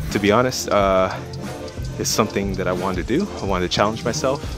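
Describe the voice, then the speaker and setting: Clear music plays in the background. Over it, a man speaks at a fairly low pitch. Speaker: fitness vlogger. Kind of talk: casual vlog chat. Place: gym. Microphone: earbuds.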